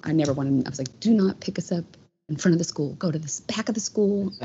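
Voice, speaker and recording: Somewhat breathy, a woman speaks at a fairly quick pace. Her intonation is lively. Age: 40s. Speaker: guest sharing personal story. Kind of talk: testimony.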